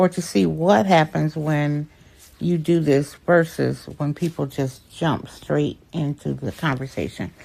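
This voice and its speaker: At a very slow pace, a woman with a very deep, low pitch speaks in an American accent. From Michigan, US. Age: 60s. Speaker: clarity coach and digital creator. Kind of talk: tutorial. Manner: direct.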